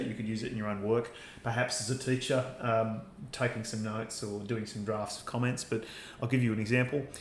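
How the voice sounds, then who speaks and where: Audible room echo carries a man's very fast speech in an Australian accent. His pitch sits at a medium level, and his intonation stays fairly even. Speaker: university lecturer. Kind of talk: lecture. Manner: hesitant, many fillers.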